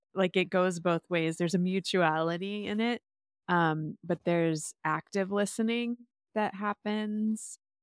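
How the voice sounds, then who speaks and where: A woman with a plain, everyday voice at medium pitch speaks at a fairly slow pace with fairly even intonation and very even loudness, recorded dry and close with no echo on a very clean recording with a silent background. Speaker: podcast host. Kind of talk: casual chat.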